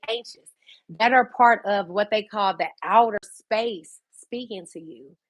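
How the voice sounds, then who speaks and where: Using an ordinary speaking voice, a woman talks at a fairly slow pace and a medium pitch. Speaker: livestreamer. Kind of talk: casual livestream monologue. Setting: at home by a fireplace.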